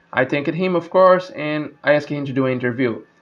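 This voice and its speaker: A man speaks with a Brazilian accent. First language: Portuguese. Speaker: gaming YouTuber and speedrunner. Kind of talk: casual vlog narration. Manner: hesitant, repeats words.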